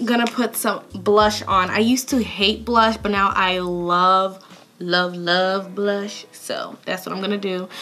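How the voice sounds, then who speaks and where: Noticeable background noise runs through the clip. A woman speaks at a medium pitch. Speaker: beauty vlogger. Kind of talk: tutorial. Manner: casual, chatty.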